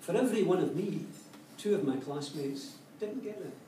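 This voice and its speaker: A man with a Glaswegian accent talks at a moderate pace, his high pitch making very wide swings. Audible room echo and noticeable background noise fill the recording. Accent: Glaswegian Scottish. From Scotland, Glasgow. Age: 60s. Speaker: educator and speaker. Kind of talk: public talk. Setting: cafe talk with live audience.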